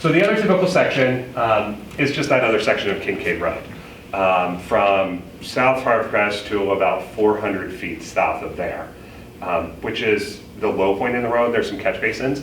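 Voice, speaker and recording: A man at a medium pitch is heard with noticeable background noise and audible room echo. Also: lively intonation. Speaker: village engineer presenting to residents. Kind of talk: public meeting presentation. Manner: fast.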